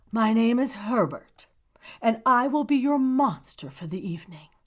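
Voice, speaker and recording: A woman's fairly high put-on character voice in a very clean recording with a silent background. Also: moderate pace. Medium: read story.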